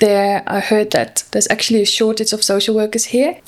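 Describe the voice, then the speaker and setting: Against noticeable background noise, a woman speaks at a fairly high pitch with a Dutch accent. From Netherlands. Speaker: social worker. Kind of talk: podcast interview.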